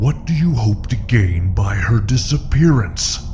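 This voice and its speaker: A man's put-on character voice at medium pitch and moderate pace, with clear background noise. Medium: short film. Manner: smooth, silkily polite, menacing.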